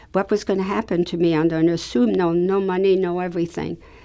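On a very clean recording with a silent background, a woman speaks at a fairly quick pace. Her fairly low pitch carries a dark, mellow tone and ordinary pitch variation. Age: 80s+. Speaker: Holocaust survivor. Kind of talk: testimony. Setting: studio.

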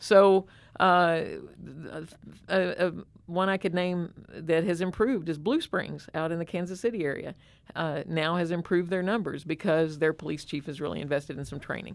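With an American accent, a woman speaks in an ordinary speaking voice. Her pitch is fairly low, and her intonation is fairly even. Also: moderate pace. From rural Southern Illinois. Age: 60s. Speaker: nonprofit executive director, former state legislator. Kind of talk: interview. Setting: studio.

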